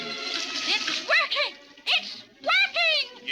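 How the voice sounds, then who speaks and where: A woman's cartoonish character voice, extremely high in pitch with very wide pitch swings, over faint music in the background. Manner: bossy, shrill, impatient, repeats herself.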